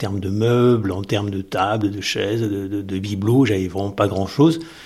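Speaking with fairly even intonation and a plain, everyday voice, this man keeps a moderate pace. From southern France coast. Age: 50s. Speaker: teacher. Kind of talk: personal testimony.

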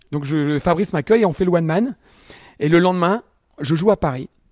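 Talking very fast, a man is heard with a dry, close sound and no echo at all. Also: quiet background. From Picardy, France (Albert, Somme). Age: 50s. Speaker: comedian. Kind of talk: radio interview. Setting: comedy club venue.

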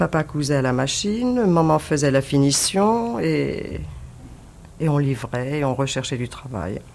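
A woman speaks at a fairly slow pace in a very deep, low voice, her pitch swinging very widely. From Paris, Belleville. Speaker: former resistance member, witness. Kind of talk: testimony.

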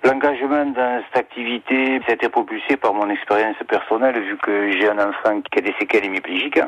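A man talks at a fairly quick pace with ordinary pitch variation. Noticeable background noise runs beneath him. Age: 50s. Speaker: garage owner. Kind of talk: radio interview.

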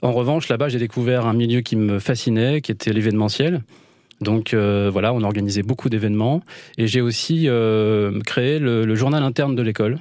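Over a quiet background, a man speaks at a medium pitch and moderate pace, with ordinary pitch variation. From Île-de-France (Val d'Oise, Vexin). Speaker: rural holiday estate owner, former radio host. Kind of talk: radio interview. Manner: hesitant, many fillers and repetitions.

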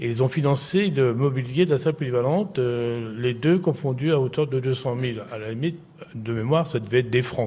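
Here is a man with a plain, everyday voice. He talks at a moderate pace, medium in pitch with ordinary pitch variation. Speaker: former mayor. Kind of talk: interview. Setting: live broadcast from a care home.

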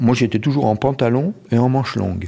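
A man is speaking. His tone is dark and mellow. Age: 60s. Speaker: ski patroller. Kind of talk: interview testimony.

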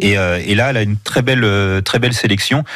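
Music plays in the background while a man talks with ordinary variation in pitch. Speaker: food critic and journalist. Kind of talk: radio interview. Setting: radio studio. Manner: hesitant, repeats words.

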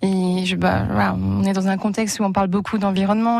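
Speaking at a fairly quick pace, a woman with a medium-pitched voice comes through over noticeable background noise. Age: 20s. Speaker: volunteer. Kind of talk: radio interview.

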